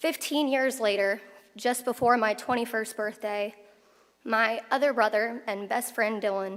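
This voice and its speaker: Pitched fairly high, a woman speaks at a fairly slow pace with fairly even intonation. She has a normal speaking voice. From Oklahoma, US. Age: 20s. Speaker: attorney, commencement speaker. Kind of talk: commencement speech. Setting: graduation ceremony with audience.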